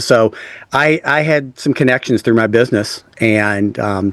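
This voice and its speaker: In a very clean recording with a silent background, a man with a Texan accent speaks at a fairly slow pace with lively intonation. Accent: Texan American English. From West Texas. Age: 50s. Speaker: author and speaker. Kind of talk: interview conversation. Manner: casual, halting with fillers.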